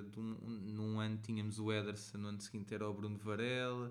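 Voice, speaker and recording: The speaker has a European Portuguese accent, and audible room echo surrounds the voice. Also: man. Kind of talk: casual chat.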